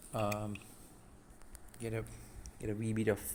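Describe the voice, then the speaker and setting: A man speaks at a moderate pace. His voice sits fairly low and carries a non-native accent. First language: not English. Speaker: DIY tech tutorial creator. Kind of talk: tutorial. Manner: hesitant, many fillers.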